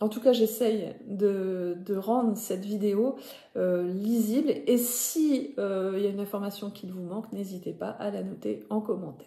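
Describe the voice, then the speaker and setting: A woman's medium-pitched voice at a fairly slow pace, with ordinary pitch movement, big swings in loudness, and noticeable background noise. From northern France (Nord). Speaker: knitting podcaster. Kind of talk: casual vlog talk to viewers. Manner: hesitant, many fillers (euh).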